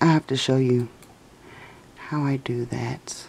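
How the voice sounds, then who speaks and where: Against light background noise, a woman is whispering. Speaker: mom and lifestyle vlogger. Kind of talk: casual screen-recording tutorial. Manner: whispered. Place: home room. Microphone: phone near.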